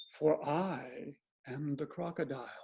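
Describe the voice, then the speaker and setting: A put-on character voice delivers the lines at a fairly slow pace in a low-to-middle pitch. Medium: read story. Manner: coaxing, sly.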